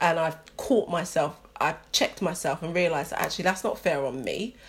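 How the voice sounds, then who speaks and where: Speaking at a moderate pace, a woman with a London accent has a fairly low pitch. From London, England. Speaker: podcast co-host, teacher. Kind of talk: casual chat.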